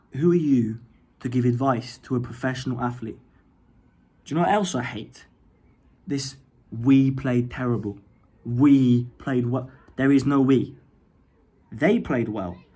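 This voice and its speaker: A man with an English accent, medium pitch and a dark, mellow tone, at a fairly slow pace with long, frequent pauses and ordinary pitch variation. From England. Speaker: YouTuber. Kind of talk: rant. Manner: animated; halting.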